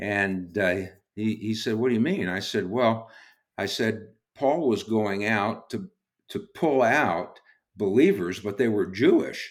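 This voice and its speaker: In a plain, everyday voice, a man with an American accent speaks at a fairly low pitch with lively intonation. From Brooklyn, New York, then California. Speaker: ministry co-founder and teacher. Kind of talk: podcast interview.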